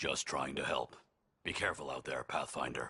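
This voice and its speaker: A put-on, raspy character voice from a man, pitched very deep and low, at a moderate pace. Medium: video game. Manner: dry, sardonic.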